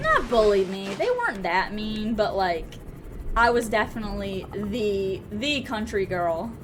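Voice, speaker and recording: A woman with an American accent speaks at a fairly high pitch with ordinary pitch variation, with audible room echo and music in the background. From US South. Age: 20s. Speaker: gaming streamer. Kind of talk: casual live-stream chat while gaming. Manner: casual, chatty with fillers.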